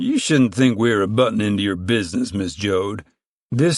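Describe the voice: Someone does plain reading aloud. Behind it, the background is quiet.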